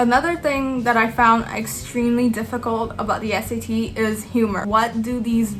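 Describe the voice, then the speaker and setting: A woman with a non-native accent and a fairly high pitch is heard with audible room echo and noticeable background noise. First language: not English. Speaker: student YouTuber. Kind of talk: tutorial. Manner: casual, filler-heavy.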